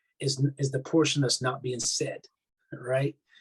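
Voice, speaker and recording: A somewhat breathy man with a Barbadian accent at a fairly quick pace, in a dry, close sound with no echo. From Barbados. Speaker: army chaplain. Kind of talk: interview. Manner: halting, many repetitions.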